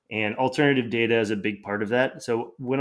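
At a moderate pace and with ordinary pitch variation, a man is captured on a very clean recording with a silent background. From US South, Atlanta. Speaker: data science lead at an investment bank. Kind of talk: interview conversation. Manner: hesitant, many fillers.

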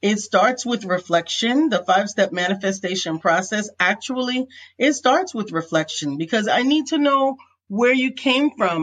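Somewhat breathy and fairly high-pitched, a woman talks at a fairly slow pace with lively intonation. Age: 50s. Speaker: business coach and author. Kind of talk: interview.

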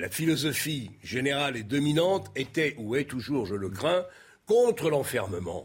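With vocal fry and very wide pitch swings, a man talks at a fairly high pitch and a fairly slow pace. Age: 60s. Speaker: political commentator. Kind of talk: televised debate.

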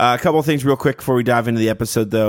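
Here a man has a plain, everyday voice at a medium pitch. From Canada. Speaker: podcast host. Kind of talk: casual interview chat. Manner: friendly, upbeat.

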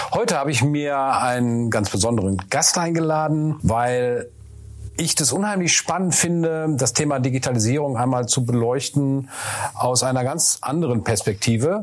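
Over noticeable background noise, a man speaks at medium pitch and a moderate pace with lively intonation. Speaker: podcast host and business consultant. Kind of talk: casual interview.

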